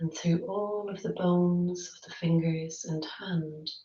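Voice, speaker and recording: Her pitch fairly low and intonation fairly even, a woman speaks at a very slow pace. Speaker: yoga nidra guide. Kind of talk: yoga nidra body-scan guidance. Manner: slow, soft-spoken, gently paced.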